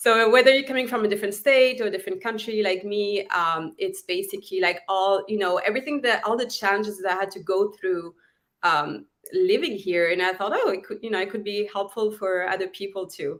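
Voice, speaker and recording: Speaking at a fairly quick pace with a French accent, a woman uses a medium pitch and ordinary pitch variation. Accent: French accent, noticeable. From southern France. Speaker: actress and author. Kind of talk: interview chat.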